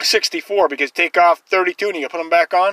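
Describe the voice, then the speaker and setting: No echo colors the dry sound. Behind it, everything stays quiet. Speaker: van dweller vlogger. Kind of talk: casual vlog chat. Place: car.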